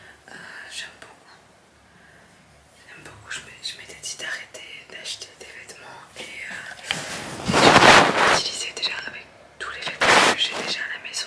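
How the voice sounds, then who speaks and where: A woman whispers at a fairly slow pace, leaving long, frequent pauses and making big swings in loudness. Noticeable background noise and audible room echo fill the recording. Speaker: vlogger. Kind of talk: casual vlog talk. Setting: at home at night. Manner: soft-spoken.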